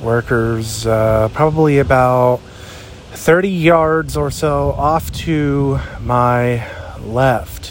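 A man of medium pitch speaks with an American accent and ordinary pitch variation against noticeable background noise. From southwest Pennsylvania. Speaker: podcast host, plane spotter. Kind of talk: casual outdoor commentary. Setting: outdoors, walking on a sidewalk.

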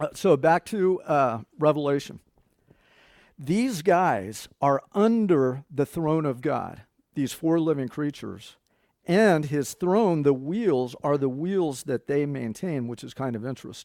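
The recording is very clean, with a silent background. A man speaks at a fairly slow pace with a fairly high pitch. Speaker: pastor. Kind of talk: sermon. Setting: church. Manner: conversational, teaching; animated.

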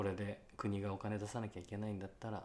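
A man talks at a moderate pace. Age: 30s. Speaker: actor and podcast co-host. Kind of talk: casual chat. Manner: animated.

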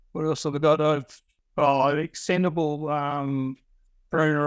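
A man speaks in a rural Australian accent with a fairly high pitch and monotone, flat intonation. The recording is very clean, with a silent background. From Western Australia, rural wheatbelt. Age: 50s. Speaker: franchise gardener, former farmer. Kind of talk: interview. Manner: halting.

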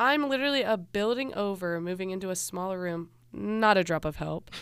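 This is an unremarkable speaking voice with an American accent. Its pitch varies in an ordinary way at a moderate pace. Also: woman. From US Midwest, Cincinnati, Ohio. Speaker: student podcast host. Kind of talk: casual chat; scripted narration.

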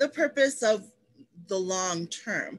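A woman's very slow delivery with very wide pitch swings over a quiet background. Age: 30s. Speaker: podcast co-host. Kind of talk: casual chat.

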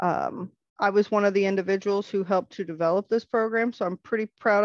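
A woman talks at a very fast pace with an American accent. Her intonation is flat and monotone. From US Midwest (Missouri, small town). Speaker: self-defense program director. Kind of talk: interview conversation. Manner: hesitant with frequent fillers.

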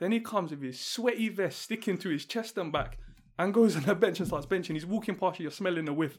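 A man with a London accent talks very fast at a high pitch, with ordinary pitch variation, on a very clean recording with a silent background. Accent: London multicultural English. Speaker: podcast host. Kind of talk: casual chat. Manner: calm, composed.

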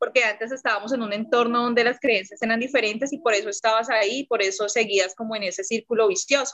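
Speaking in a Bogotá accent, a woman talks at a very fast pace with hardly any pauses and ordinary pitch variation. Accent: Bogotá Colombian Spanish. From Colombia, Bogotá. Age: 30s. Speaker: entrepreneur, network marketer. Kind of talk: casual interview.

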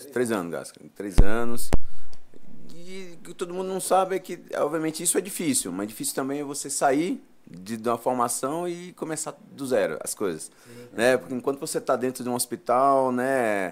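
Very wide pitch swings mark this man's speech. His loudness swings a lot, at a moderate pace. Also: medium pitch for a man. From Brazil, Piauí (Floriano). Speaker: urologist. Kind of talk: live podcast interview. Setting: studio.

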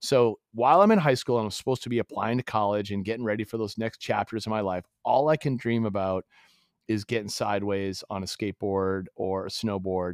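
In a normal speaking voice, a man with an American accent talks at a fairly quick pace and a fairly low pitch. His pitch varies in an ordinary way, and the sound is dry and close with no echo. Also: quiet background. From Massachusetts. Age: 50s. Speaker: company founder. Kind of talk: casual chat. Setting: call.

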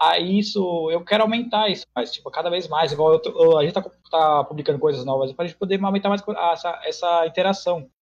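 A man with a high voice and ordinary pitch variation talks fairly quickly. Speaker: streamer. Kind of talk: casual chat. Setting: online call. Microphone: call drops, sometimes inaudible.

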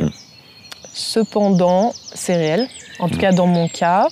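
A woman speaks at a very slow pace. Noticeable background noise is heard. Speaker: freelance graphic designer. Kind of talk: casual interview.

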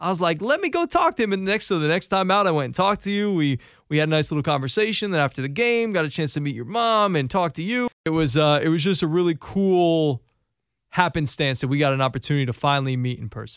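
A very fast-talking man with a fairly high pitch and lively intonation. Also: very clean recording, silent background. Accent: American. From Connecticut. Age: 30s. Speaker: radio host. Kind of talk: casual radio interview.

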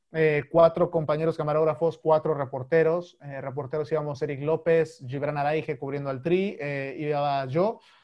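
A man with fairly high pitch has an unremarkable speaking voice. He talks at a moderate pace with hardly any pauses. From Mexico, Chiapas. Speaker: sports correspondent. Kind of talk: casual interview.

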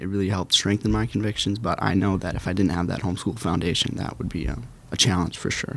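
A man with an American accent talks at a fairly low pitch with ordinary pitch variation and vocal fry. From Minnesota, US. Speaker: intern. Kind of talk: interview.

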